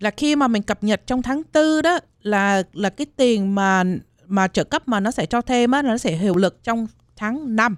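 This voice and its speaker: Recorded very cleanly against a silent background with a dry, close sound and no echo, a woman in a normal speaking voice talks at a fairly slow pace with a fairly high pitch, lively intonation and very even loudness. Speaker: health insurance agent. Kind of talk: informative talk on radio.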